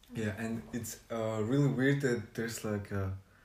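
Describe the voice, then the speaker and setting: The voice has a dark, mellow tone and moves at a fairly slow pace, with audible room echo. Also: man. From Mongolia. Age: 20s. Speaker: podcast guest. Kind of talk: casual chat. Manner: halting.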